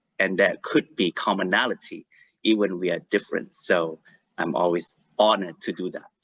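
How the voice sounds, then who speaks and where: A man with a Malaysian accent and a bright, sharp tone, at a moderate pace, in a dry, close sound with no echo. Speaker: life coach. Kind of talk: online panel introduction. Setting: video call. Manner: halting.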